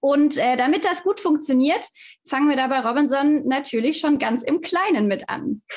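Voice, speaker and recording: A woman speaks in a high pitch with ordinary pitch variation and very even loudness. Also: moderate pace. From Stuttgart, southwest Germany. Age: 20s. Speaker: fitness manager at a holiday club company. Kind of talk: podcast interview.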